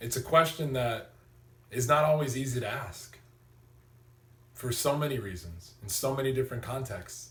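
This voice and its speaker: Energetic and at a moderate pace, a man speaks at medium pitch with ordinary pitch variation, big swings in loudness, long, frequent pauses, and audible room echo. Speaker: motivational vlogger. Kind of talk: motivational talk.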